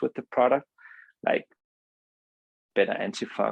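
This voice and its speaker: With a Danish accent, a man speaks in a dry, close sound with no echo. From Denmark. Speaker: company co-founder, entrepreneur. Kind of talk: interview. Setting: podcast. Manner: halting, many fillers.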